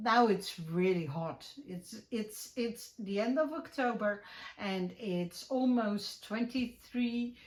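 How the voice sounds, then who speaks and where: A woman talks at a very slow pace in a medium pitch with a Dutch accent. Her voice is somewhat breathy, with lively intonation. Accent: Dutch, clearly recognizable. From Netherlands. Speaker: crafting YouTuber and podcaster. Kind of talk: casual chat. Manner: hesitant, many fillers.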